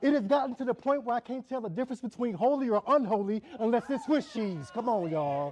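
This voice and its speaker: The voice is loud, with lively intonation. The pace is fairly quick. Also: man. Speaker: spoken word poet. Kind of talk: spoken word performance. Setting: church event with audience. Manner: loud, projecting; rhythmic. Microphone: poor sound system.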